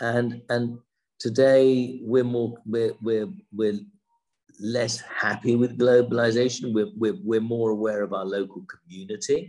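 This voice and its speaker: Speaking with a southern English accent at a fairly slow pace, a man has a medium pitch, ordinary pitch variation and a dark, mellow tone. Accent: British, general southern English. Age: 60s. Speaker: businessman and winery co-founder. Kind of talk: casual interview.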